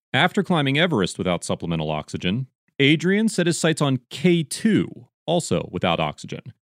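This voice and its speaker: A man's fairly high voice with very wide pitch swings and vocal fry, dry and close with no echo, on a very clean recording with a silent background. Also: moderate pace. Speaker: podcast host. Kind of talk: podcast intro and interview.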